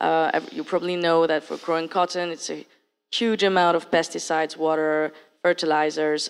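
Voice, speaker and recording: In a very clean recording with a silent background, a woman speaks with a French accent. Her voice is fairly low in pitch and monotone, with flat intonation. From France. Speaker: accelerator program director. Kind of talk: panel discussion.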